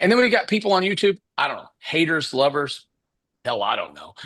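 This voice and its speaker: Kentucky-accented man at a fairly quick pace, with very wide pitch swings and big swings in loudness. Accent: Southern US (Kentucky). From Kentucky (Paducah). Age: 60s. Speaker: business coach. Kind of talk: live webinar talk. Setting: livestream. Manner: casual, filler-heavy.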